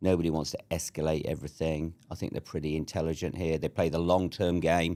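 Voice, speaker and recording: A man with a southern English accent, very deep and low in pitch, with a dark, mellow tone and fairly even intonation. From southern England (Surrey). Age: 60s. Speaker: entrepreneur and army veteran. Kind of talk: casual interview chat.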